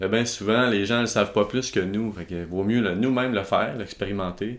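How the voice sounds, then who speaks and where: Talking at a fairly quick pace in a Quebec accent, a man keeps his intonation fairly even. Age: 20s. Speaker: videographer and entrepreneur. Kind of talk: interview. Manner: halting.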